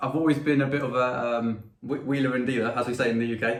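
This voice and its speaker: A man with an English accent talks at a fairly quick pace. His intonation stays fairly even, and the room echo is audible. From England. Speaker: pedal maker and musician. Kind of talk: interview.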